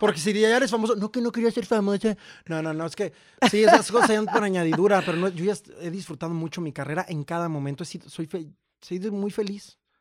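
A man with a high voice speaks very fast and with ordinary pitch variation on a very clean recording with a silent background. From Mexico, Jalisco highlands. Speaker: actor and writer. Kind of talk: casual chat.

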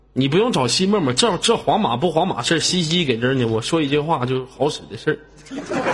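A man talks at a fairly quick pace with hardly any pauses, his fairly high pitch swinging very widely in an animated tone. Noticeable background noise is present. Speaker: live-stream host. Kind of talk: live-stream chat with viewers.

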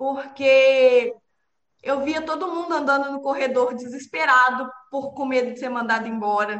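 Speaking at a fairly slow pace, a woman with a high voice keeps her intonation fairly even. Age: 20s. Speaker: project management professional.

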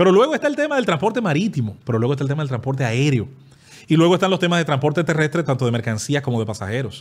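Somewhat breathy and fairly high in pitch, a man talks at a very fast pace with lively intonation in a very clean recording with a silent background. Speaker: podcast guest. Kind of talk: casual chat.

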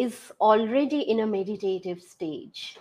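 In an Indian accent, a woman speaks with a fairly high pitch. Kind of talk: interview.

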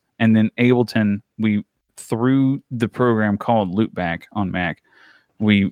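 Speaking with an American accent, a man keeps a moderate pace at a medium pitch. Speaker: podcaster and audio hobbyist. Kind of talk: casual chat. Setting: remote recording call. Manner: animated.

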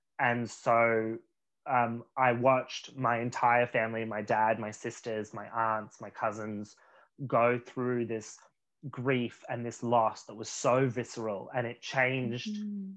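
With an Australian accent, a man speaks very slowly at a medium pitch. His intonation is fairly even, while his loudness swings widely. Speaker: actor. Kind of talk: casual chat.

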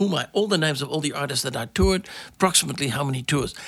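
The man's fairly high voice has a bright, sharp tone, vocal fry and lively intonation. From Netherlands. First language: Dutch. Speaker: jazz tour manager and impresario. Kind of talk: interview.

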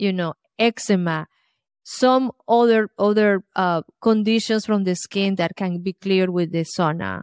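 In a Colombian accent, a woman at a medium pitch speaks at a fairly slow pace with fairly even intonation, her voice dry and close with no echo on a very clean recording with a silent background. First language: Spanish. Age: 50s.

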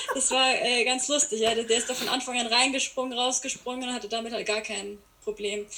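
A woman's high-pitched voice at a fairly quick pace, with fairly even intonation and noticeable background noise. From Bavaria, Landsberg am Lech area. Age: 20s. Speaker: horse trainer. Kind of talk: casual chat.

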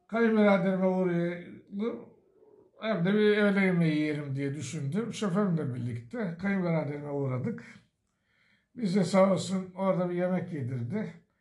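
A man talks at a moderate pace in a high pitch, with lively intonation. Audible room echo surrounds his voice. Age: 60s. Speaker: retiree and memoir author. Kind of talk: storytelling interview.

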